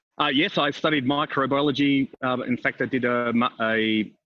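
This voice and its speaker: With an Australian accent, a man speaks at a moderate pace and medium pitch with fairly even intonation. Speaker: business consultant living abroad. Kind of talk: podcast interview. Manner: calm, steady; hesitant, many fillers.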